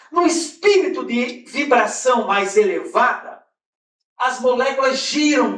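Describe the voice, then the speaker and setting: A man's extremely high voice with a Brazilian accent, very slow pace and very wide pitch swings. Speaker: spiritist lecturer. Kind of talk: lecture. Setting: conference hall with audience.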